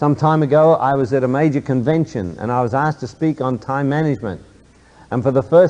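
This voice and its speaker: A man with a dark, mellow tone and a fairly high pitch speaks at a moderate pace with ordinary pitch variation. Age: 60s. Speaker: motivational speaker, businessman. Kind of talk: motivational talk to an audience.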